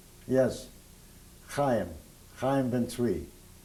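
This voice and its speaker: In a room with audible echo, a man speaks very slowly in a dark, mellow tone. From Hungary. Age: 70s. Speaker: Holocaust survivor. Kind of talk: oral history interview. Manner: halting.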